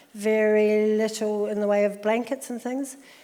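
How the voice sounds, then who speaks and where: A woman with a New Zealand accent speaks at a moderate pace in a fairly high, dark and mellow voice, her intonation flat and monotone. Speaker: social worker. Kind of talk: interview.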